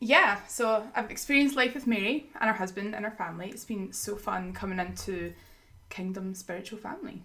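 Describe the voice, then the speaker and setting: With a Scottish accent, a woman talks at a fairly quick pace in a medium pitch, with ordinary pitch variation and big swings in loudness, over noticeable background noise. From Scotland. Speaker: podcast guest, ministry school graduate. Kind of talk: casual chat, faith podcast.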